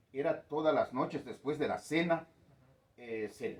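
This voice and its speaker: The voice moves at a fairly slow pace with vocal fry and lively intonation. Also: man. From Guatemala, K'iche' Maya community. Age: 60s. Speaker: community elder. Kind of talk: interview. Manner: hesitant, many fillers.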